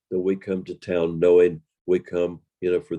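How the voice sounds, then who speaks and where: A dark, mellow tone comes through with a Southern US accent in a dry, close sound with no echo. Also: man. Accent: Southern American. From Western North Carolina. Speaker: professional storyteller. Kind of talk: interview answer.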